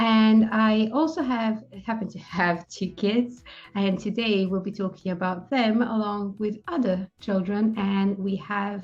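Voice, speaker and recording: A woman speaks in a medium-pitched, somewhat breathy voice with ordinary pitch variation. The background is quiet. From Serbia and France. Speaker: video host, parent. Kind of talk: casual chat. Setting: video call.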